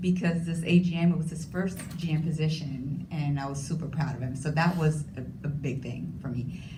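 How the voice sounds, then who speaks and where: A woman with a very deep, low pitch, fairly even intonation and a moderate pace, hardly any pauses, and audible room echo. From Puerto Rico. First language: Spanish. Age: 40s. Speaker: hotel industry manager, panelist. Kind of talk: panel discussion.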